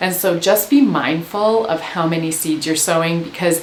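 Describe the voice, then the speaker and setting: With a Canadian accent, a woman talks at a moderate pace and ordinary pitch variation. Light background noise and audible room echo are present. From Canada. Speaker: gardening educator. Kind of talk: tutorial. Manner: animated. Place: home room.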